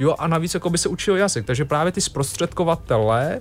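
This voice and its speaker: Vocal fry colors a man's voice as he speaks at a moderate pace with lively intonation. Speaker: NGO representative. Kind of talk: radio interview. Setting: radio studio.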